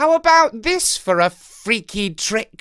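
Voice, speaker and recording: A put-on character voice at a fairly high pitch, swinging very widely up and down. It moves at a fairly slow pace. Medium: read story.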